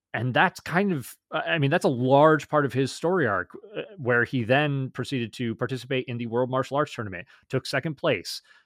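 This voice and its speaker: A man's normal speaking voice at a medium pitch and moderate pace, lively in intonation, with a dry, close sound with no echo in a very clean recording with a silent background. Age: 30s. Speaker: podcast co-host. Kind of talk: casual chat. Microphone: new audio equipment.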